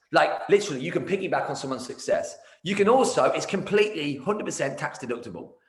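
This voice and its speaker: A man at a very fast pace, energetic in tone, with audible room echo. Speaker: martial arts business coach. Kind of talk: casual interview. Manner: loud, energetic.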